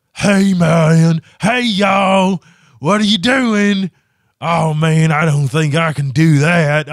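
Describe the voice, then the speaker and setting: A man puts on a character voice, pitched high and delivered very slowly. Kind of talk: casual, colloquial. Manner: easygoing, drawling.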